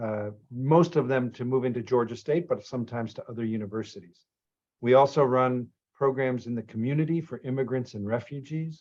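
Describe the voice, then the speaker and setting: With an American accent and an unremarkable speaking voice, a man talks at a fairly quick pace, medium in pitch with ordinary pitch variation. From Boston, Massachusetts. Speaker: program director and lecturer. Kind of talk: orientation introduction. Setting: video call.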